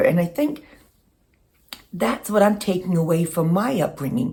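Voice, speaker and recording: At a moderate pace, a woman with a medium pitch and a dark, mellow, somewhat breathy tone speaks with very wide pitch swings. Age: 60s. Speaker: lifestyle vlogger. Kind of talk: casual monologue. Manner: reflective, with some hesitations.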